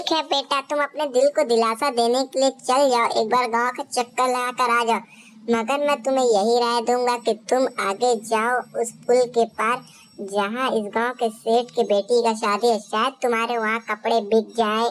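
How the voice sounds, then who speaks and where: A woman does a cartoonish character voice at a high pitch. Her loudness stays very even, her intonation fairly even, and her pace moderate. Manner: gentle, fatherly.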